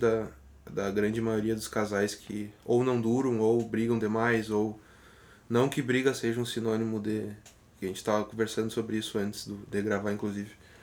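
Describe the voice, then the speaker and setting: A normal speaking voice goes at a moderate pace with fairly even intonation. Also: man. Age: 20s. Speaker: podcast co-host, journalist and musician. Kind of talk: casual chat.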